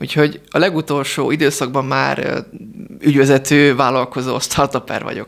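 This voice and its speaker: This man's fairly high voice stays monotone and flat, with vocal fry running through it. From Hungary. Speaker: entrepreneur. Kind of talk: radio interview. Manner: halting.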